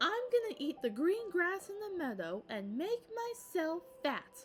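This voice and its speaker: Using a put-on character voice, a woman speaks at a fairly slow pace in an extremely high pitch with very wide pitch swings over clear background noise. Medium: read story.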